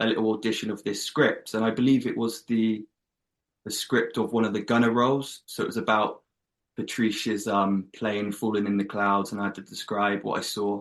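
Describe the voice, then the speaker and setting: Speaking in an English accent, a man with a medium pitch keeps a monotone, flat intonation at a moderate pace. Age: 20s. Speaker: actor. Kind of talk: interview.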